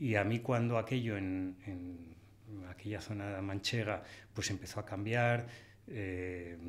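A man speaks with a fairly low pitch and fairly even intonation. His pace is very slow. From Spain. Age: 60s. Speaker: hunter and conservation writer; podcast guest. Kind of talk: interview. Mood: calm, reflective. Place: studio. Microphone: studio mic.

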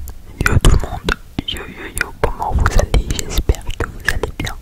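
Whispered words arrive at a very slow pace, with noticeable background noise behind them. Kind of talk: ASMR gaming commentary. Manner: casual, rambling.

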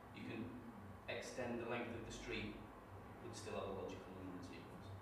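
A man at a fairly quick pace, with audible room echo and loud background noise. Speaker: trainee teacher; network marketing distributor. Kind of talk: classroom presentation. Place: classroom. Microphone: camera far.

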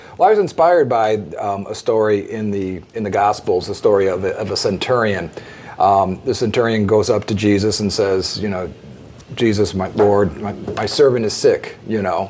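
Light background noise sits under a man speaking at a fairly low pitch and moderate pace with ordinary pitch variation. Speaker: guest. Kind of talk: interview answer. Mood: calm, thoughtful storytelling. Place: studio.

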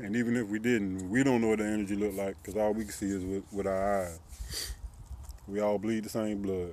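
A man's fairly low voice at a fairly quick pace, fairly even in intonation, dry with no echo. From US South, Columbia, South Carolina; South Carolina. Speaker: YouTuber. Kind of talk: personal vlog monologue. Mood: critical, earnest about religion. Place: street. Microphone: phone near.

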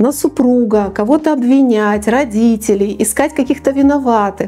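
This woman's voice sits high in pitch yet has a dark, mellow tone. She speaks at a moderate pace. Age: 50s. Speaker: business psychologist; presenter. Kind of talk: talk to camera. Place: studio. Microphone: lapel.

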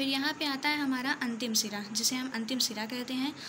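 Noticeable background noise sits behind the voice. The delivery is fairly slow, with fairly even intonation. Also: woman. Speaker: student or tutor explaining biology. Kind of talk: tutorial. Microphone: phone near.

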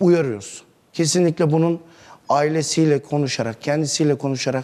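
A man's fairly high voice at a moderate pace, with ordinary pitch variation. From Turkey, Isparta; Turkey. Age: 40s. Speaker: neighbourhood headman; interview guest. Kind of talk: TV interview. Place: studio. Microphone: lapel.

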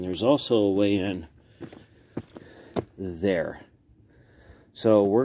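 A dark, mellow tone comes at a very slow pace with ordinary pitch variation. Light background noise is present. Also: man. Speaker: explorer vlogger. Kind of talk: casual vlog chat. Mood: cautious, curious. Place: open country. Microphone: phone near.

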